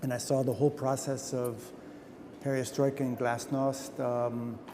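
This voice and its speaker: Recorded with audible room echo, a man with a medium pitch and a dark, mellow tone speaks at a moderate pace in a monotone, flat intonation. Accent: American. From US Midwest (Fort Wayne, Indiana). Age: 60s. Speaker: photographer. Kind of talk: interview. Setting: museum.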